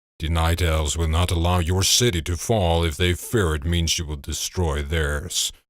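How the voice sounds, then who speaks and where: A put-on character voice from a man, very deep and low, at a moderate pace, on a very clean recording with a silent background. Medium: read story. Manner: slow, deliberate.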